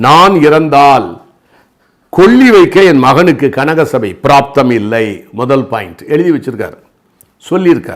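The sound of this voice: Lively in intonation, a man speaks at a moderate pace and medium pitch.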